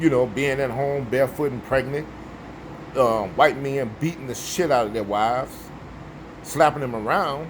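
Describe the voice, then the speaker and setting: With noticeable background noise, a speaker with an American accent talks at a moderate pace with ordinary pitch variation and long, frequent pauses. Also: man, medium pitch for a man. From US Midwest, Chicago. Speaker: vlogger. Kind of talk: casual monologue.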